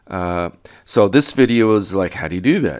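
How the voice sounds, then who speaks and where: The man's voice is very deep and low in pitch. He talks at a fairly slow pace. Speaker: programming instructor. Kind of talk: tutorial. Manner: hesitant, many fillers.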